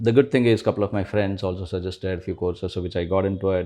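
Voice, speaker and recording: A man with a Kannada accent, fairly low pitch, dark, mellow tone, fairly even intonation and a very fast pace. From India, rural Karnataka near Bangalore. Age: 40s. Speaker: investor, former tech professional. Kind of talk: interview. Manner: hesitant, many fillers.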